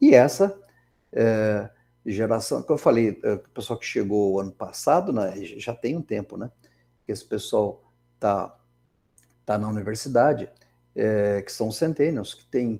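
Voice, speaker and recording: Speaking fairly slowly with long, frequent pauses, a man at medium pitch has a dark, mellow tone, ordinary pitch variation and big swings in loudness. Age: 60s. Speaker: engineering professor. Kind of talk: lecture. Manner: conversational, many fillers.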